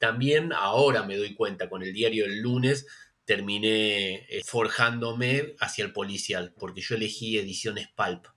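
A man speaks at medium pitch and a fairly slow pace. His tone is bright and sharp, with ordinary pitch variation. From Buenos Aires western suburbs, Argentina. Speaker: novelist. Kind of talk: interview. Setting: video call.

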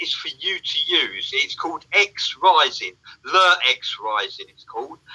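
A man with an English accent talks at a fairly slow pace. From England. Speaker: livestream co-host. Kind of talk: casual chat.

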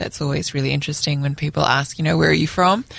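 Speaking with an Australian accent, a woman with a very deep, low pitch and vocal fry uses lively intonation. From Australia, Sydney. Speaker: mother of a newborn. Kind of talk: casual chat. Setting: studio.

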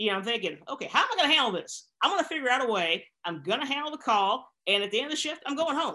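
With an American accent, a woman speaks at a very fast pace with hardly any pauses in a raised, projected voice. Her high pitch carries a bright, sharp tone and very wide pitch swings. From US South (Arkansas). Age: 50s. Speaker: police officer and powerlifter. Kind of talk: casual interview. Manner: halting, repetitive fillers.

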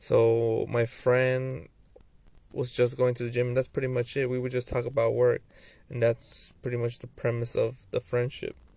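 A man's dark, mellow tone at medium pitch, monotone and flat, at a moderate pace. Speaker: solo podcaster. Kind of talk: personal monologue. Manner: halting.

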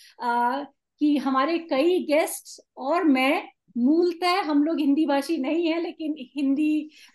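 The speaker has a Tamil accent and fairly even intonation. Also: woman, high pitch for a woman. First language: Tamil (speaking Hindi). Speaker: podcast host. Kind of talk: casual chat.

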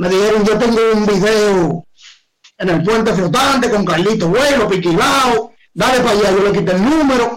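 A high-pitched male voice with a Dominican accent at a moderate pace. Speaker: urban music artist and dancer. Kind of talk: casual interview. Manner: animated, joking.

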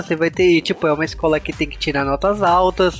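A man is speaking. Music plays in the background. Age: 30s. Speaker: podcast host. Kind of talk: casual chat.

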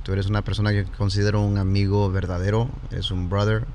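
Noticeable background noise accompanies someone talking at a fairly quick pace. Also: man. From Los Angeles County, California. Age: young. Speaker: pastor. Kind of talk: casual chat. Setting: studio.

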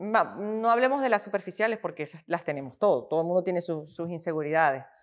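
Heard in a very clean recording with a silent background, a plain, everyday voice speaks at a moderate pace. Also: woman. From Venezuela. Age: 40s. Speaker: fitness influencer. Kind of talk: casual interview.

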